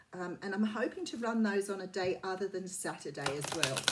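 A woman at a moderate pace over light background noise. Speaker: tarot reader. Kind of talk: casual vlog chat. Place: home room. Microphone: phone near.

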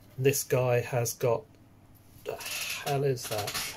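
Delivery is very slow and the intonation is monotone and flat. Noticeable background noise can be heard. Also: man. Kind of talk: casual unboxing vlog chat. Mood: relaxed, self-deprecating. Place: home room. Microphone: webcam.

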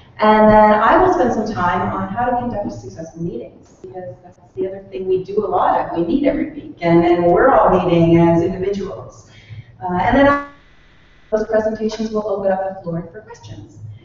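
A woman speaks at a moderate pace with big swings in loudness, light background noise and strong room echo. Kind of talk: presentation to small audience. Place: meeting room. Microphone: camera far.

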